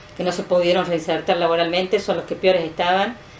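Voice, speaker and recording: Against noticeable background noise, a woman with a fairly low pitch talks at a very fast pace. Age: 60s. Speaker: former political prisoner, retired PE teacher. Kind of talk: interview testimony.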